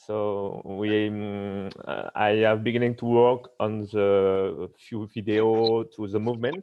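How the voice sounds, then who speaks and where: In a French accent, a man speaks at a very slow pace with hardly any pauses, his fairly low pitch held in a monotone, flat intonation. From France. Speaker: paracanoe classifier and health coach. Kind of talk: live Q&A on a video stream. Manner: halting.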